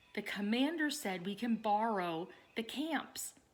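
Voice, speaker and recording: A woman uses a put-on character voice at a fairly high pitch with lively intonation. She speaks at a fairly slow pace. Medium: read story. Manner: terse, grunting.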